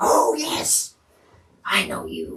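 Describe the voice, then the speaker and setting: A man puts on a raspy character voice. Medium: actual play. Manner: short, simple questions.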